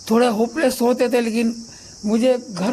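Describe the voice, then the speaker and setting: With music in the background, a man speaks at an extremely high pitch. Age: 70s. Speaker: teacher and cancer survivor. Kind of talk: interview.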